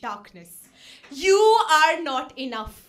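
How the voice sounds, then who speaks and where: A woman projects a raised voice with a bright, sharp tone. Room echo can be heard around her. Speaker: poet. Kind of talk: spoken word poetry performance. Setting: stage with audience. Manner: loud.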